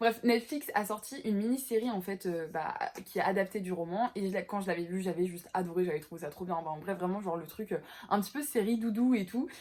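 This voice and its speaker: Pitch moves in an ordinary way. The delivery runs fairly quickly. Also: woman. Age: 20s. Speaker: book vlogger. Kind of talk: casual chat. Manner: halting.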